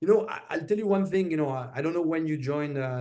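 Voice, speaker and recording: A man's very fast speech in a French accent, dark and mellow in tone, with ordinary pitch variation. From France. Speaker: semiconductor executive. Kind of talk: interview. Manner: many filler hesitations.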